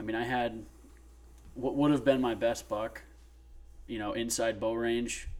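At a fairly slow pace, a man with a medium pitch speaks in a monotone, flat intonation, leaving long, frequent pauses. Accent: American. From US Northeast. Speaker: hunting podcast co-host. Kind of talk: casual chat.

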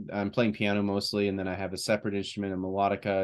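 A man talks at a very fast pace with a fairly low pitch. The background is quiet. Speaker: podcast co-host. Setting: video podcast recording. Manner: enthusiastic, chatty.

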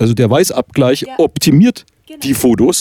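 In a dry, close sound with no echo, a man with a fairly high pitch and a dark, mellow tone speaks at a moderate pace with lively intonation. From Oberkotzau, Upper Franconia. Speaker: podcast host and author. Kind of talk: casual chat. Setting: recorded at guest's home.

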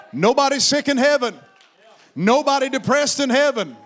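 Amid noticeable background noise, a man with an extremely high pitch talks at a moderate pace with ordinary pitch variation. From Appalachia. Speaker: pastor. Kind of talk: sermon. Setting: church. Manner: animated.

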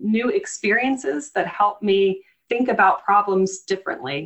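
A woman with an American accent talks at a fairly slow pace in a medium pitch. Hers is an unremarkable speaking voice. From US South, Eastern North Carolina. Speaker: government finance official. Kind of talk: interview.

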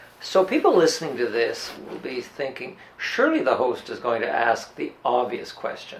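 In a Canadian accent, a man speaks at a moderate pace with hardly any pauses, over noticeable background noise. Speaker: radio host. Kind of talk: interview. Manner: halting, lots of fillers.

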